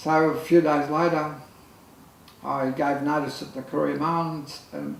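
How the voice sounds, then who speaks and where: Speaking at a fairly slow pace, a man with an Australian accent has a fairly high pitch amid audible room echo. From Australia, Lismore, New South Wales. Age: 60s. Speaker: photographer. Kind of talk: casual chat. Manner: halting.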